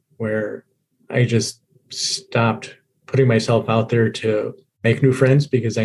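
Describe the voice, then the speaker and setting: A man's medium-pitched, somewhat breathy delivery in an American accent, monotone and flat in intonation. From US military child raised overseas (Germany, Italy, Japan). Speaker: guest sharing life story. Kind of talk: podcast interview.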